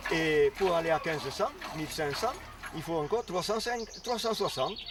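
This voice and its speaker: A man's high-pitched voice with lively intonation at a moderate pace, over noticeable background noise. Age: 70s. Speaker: farmer. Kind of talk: interview testimony. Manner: halting.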